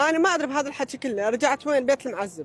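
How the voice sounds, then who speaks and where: Noticeable background noise sits behind a man's voice. His tone is animated and his intonation lively. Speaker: interviewee. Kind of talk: casual chat. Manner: animated storytelling.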